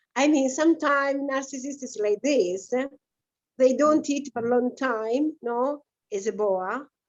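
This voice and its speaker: A woman with an Italian accent speaks in a high voice. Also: ordinary pitch variation, fairly slow pace. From Italy, Adriatic coast near Rimini. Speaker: guest. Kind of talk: casual discussion. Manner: halting.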